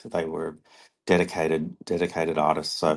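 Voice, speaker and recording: A man with an Australian accent speaks at a moderate pace in a very deep, low voice. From Australia, Brisbane. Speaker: artist. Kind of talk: interview. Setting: online live stream.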